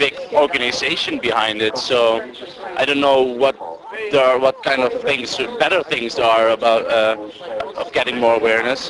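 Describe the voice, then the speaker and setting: A man with a Dutch accent, medium pitch and a fairly slow pace, against noticeable background noise. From Netherlands. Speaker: exchange student. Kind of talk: street interview. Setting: outdoors. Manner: halting.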